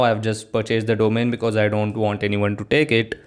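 A medium-pitched man talks at a fairly quick pace. His intonation is monotone and flat. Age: young. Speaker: solo podcaster and agency founder. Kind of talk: casual solo monologue.

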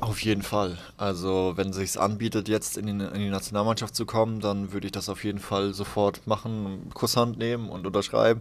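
A man speaks at a moderate pace with hardly any pauses. His fairly low voice stays monotone and flat. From Palatinate, southwestern Germany (Haßloch near Ludwigshafen). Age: 20s. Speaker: professional handball player. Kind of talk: casual interview. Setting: covered balcony, rain.

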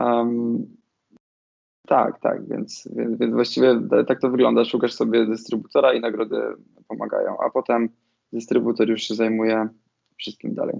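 Long pauses come often from the man. Between them, his pace is moderate. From Poland, Podhale (Nowy Targ). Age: 30s. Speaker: film director. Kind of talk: interview.

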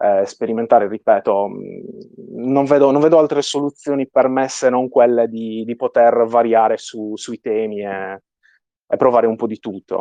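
Speaking with a strong Sardinian accent, a man keeps a moderate pace and fairly even intonation amid big swings in loudness. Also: medium pitch for a man. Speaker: 3D artist. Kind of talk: interview.

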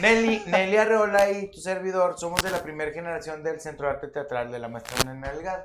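A high-pitched man with a Mexican accent, fairly quick and nearly pause-free, with lively intonation and big swings in loudness. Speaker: guest host, stage actor. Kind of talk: casual chat.

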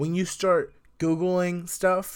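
Against a very clean, silent background, a man speaks at a fairly slow pace in an animated tone. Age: young. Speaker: podcast host and young marketer. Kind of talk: casual solo monologue.

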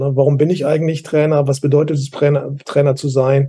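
A man's somewhat breathy, fairly high voice with a dark, mellow tone and monotone, flat intonation. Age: 60s. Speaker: youth football and basketball coach educator. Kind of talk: casual expert discussion.

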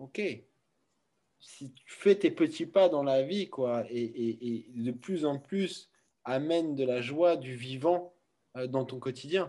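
Very slowly and with long, frequent pauses, a man speaks in a dark, mellow tone with big swings in loudness. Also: medium pitch for a man, ordinary pitch variation. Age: 30s. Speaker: founder of a wellness centre. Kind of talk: testimony. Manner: halting.

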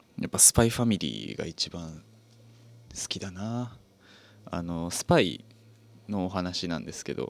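A man with a very deep, low pitch talks at a moderate pace. His intonation is lively, broken by long, frequent pauses. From Japan, Fukuoka. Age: 20s. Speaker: radio host. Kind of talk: casual chat.

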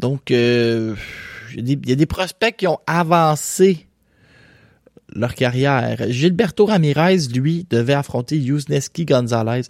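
This man has a Quebec accent and a medium pitch. He talks at a very slow pace with long, frequent pauses. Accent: Québécois French. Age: young. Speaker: boxing podcast host. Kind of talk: casual solo commentary. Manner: animated.

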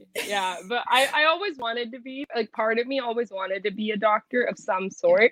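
A woman talks at a fairly quick pace with an American accent, using an ordinary speaking voice. Her pitch is fairly high, with ordinary pitch variation. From US, Punjabi family. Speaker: student and model. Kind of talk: casual interview chat.

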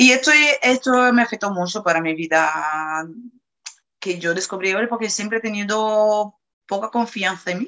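In a Portuguese accent, a woman talks at a fairly slow pace with ordinary pitch variation. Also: medium pitch for a woman. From Brazil, Salvador de Bahía. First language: Portuguese (speaking Spanish). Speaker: interviewee. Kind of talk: testimony.

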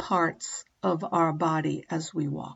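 This is a woman speaking. Her voice has vocal fry. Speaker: yoga and meditation teacher. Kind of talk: guided meditation. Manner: slow, calm, soothing pacing with long pauses; gentle, soft-spoken, instructive.

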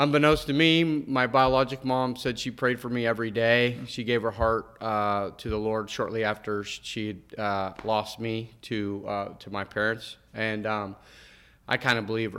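Over a very clean recording with a silent background, a man speaks at a moderate pace in a bright, sharp tone with fairly even intonation. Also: medium pitch for a man. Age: 50s. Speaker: minister. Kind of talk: testimony.

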